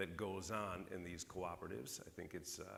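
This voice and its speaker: With audible room echo, a man with an American accent talks at a moderate pace. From northern US. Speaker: keynote speaker. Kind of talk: conference keynote speech.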